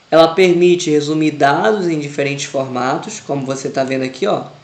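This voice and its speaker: Amid noticeable background noise and audible room echo, a man with a fairly high pitch talks at a moderate pace using fairly even intonation. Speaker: Excel teacher. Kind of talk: tutorial.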